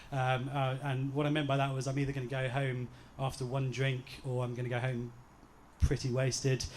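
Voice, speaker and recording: A man does the speaking. His pitch is medium. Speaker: groom. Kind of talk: wedding speech. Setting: wedding reception with audience. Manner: halting.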